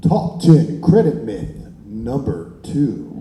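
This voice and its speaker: A put-on character voice with a dramatic tone, very slow pace, slight echo and light background noise. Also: man, fairly high pitch for a man. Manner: dramatic announcer.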